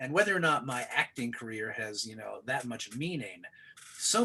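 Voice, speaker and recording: A man speaks with an American accent. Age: 60s. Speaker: actor. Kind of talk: casual chat. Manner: animated.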